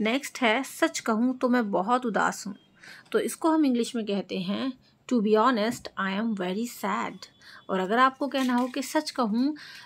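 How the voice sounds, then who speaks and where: A woman with a normal speaking voice talks in a fairly high pitch with ordinary pitch variation. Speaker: English teacher. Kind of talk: tutorial.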